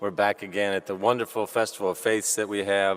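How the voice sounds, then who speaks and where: The man has a plain, everyday voice pitched fairly low. He moves at a fairly quick pace with fairly even intonation. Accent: American. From US South, Louisville, Kentucky. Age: 50s. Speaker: civic leader giving welcome. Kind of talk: welcome speech. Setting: cathedral with audience. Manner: formal.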